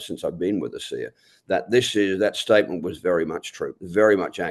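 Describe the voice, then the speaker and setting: An Australian-accented man at a moderate pace against a quiet background. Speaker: network marketing leader. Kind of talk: motivational talk.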